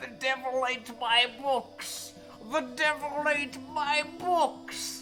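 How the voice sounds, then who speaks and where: Clear music plays in the background. Over it comes a high, put-on character voice at a very slow pace. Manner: frantic, exclaiming.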